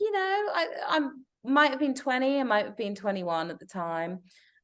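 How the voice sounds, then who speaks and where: Someone speaks with an English accent over a quiet background. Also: woman. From England. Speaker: broadcast journalist. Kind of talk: interview storytelling.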